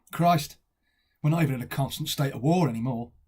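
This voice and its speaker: A somewhat breathy man with a fairly high voice, at a moderate pace and with ordinary pitch variation. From Stoke-on-Trent, England. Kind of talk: dramatic monologue.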